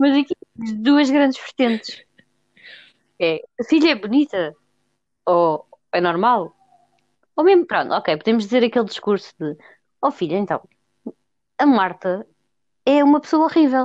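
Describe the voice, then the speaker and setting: With a European Portuguese accent, a woman speaks at a fairly slow pace and a high pitch, making very wide pitch swings and long, frequent pauses, in a dry, close sound with no echo. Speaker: podcast co-host. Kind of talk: casual chat.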